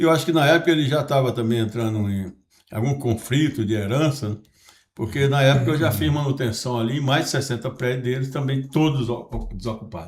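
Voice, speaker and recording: The somewhat breathy voice moves at a fairly quick pace with ordinary pitch variation. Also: man, medium pitch for a man. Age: 70s. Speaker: podcast host and businessman. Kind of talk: casual podcast conversation.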